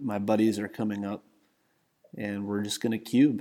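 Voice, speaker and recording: A man talks with a Southern US accent. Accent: Southern US drawl. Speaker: content creator and Magic player. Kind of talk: casual chat.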